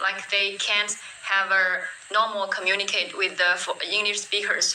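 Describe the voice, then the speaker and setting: With noticeable background noise, a woman in a Chinese accent speaks at a moderate pace and medium pitch, her loudness very even and her intonation monotone and flat. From China. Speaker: English conversation partner. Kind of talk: casual chat. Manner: halting.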